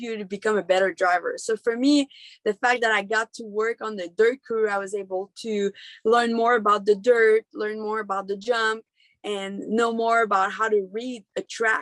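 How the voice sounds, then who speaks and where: With a Quebec accent, a woman speaks in a fairly high voice in a dry, close sound with no echo, over a quiet background. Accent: Québécois French-accented English. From Quebec, Canada. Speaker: monster truck driver. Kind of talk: interview answer. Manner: passionate.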